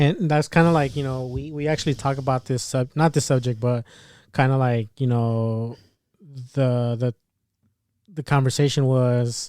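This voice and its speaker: A man with a medium pitch speaks in a dark, mellow tone, leaving long, frequent pauses. The recording is very clean, with a silent background. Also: fairly even intonation. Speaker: podcast co-host. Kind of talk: casual chat. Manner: fast.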